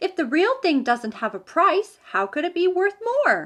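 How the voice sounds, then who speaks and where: This is a put-on character voice at a moderate pace. It swings very widely in pitch. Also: woman, extremely high pitch for a woman. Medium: read story. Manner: bright, earnest.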